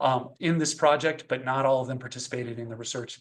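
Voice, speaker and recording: Against a quiet background, a man speaks at a moderate pace with a plain, everyday voice. His pitch is fairly high and his intonation fairly even. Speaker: professor, education researcher. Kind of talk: academic seminar talk. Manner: frequent fillers (um, uh).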